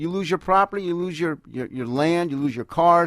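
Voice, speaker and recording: An unremarkable speaking voice from a man at a fairly high pitch, ordinary in pitch variation and moderate in pace, in a very clean recording with a silent background and a dry, close sound with no echo. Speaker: lawyer, radio guest and contributor. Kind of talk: radio interview answer.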